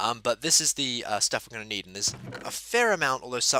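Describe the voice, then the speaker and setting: A man's bright, sharp tone comes across in a dry, close sound with no echo. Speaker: Minecraft redstone tutorial maker. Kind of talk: game tutorial narration. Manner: a little dreary, stuttering.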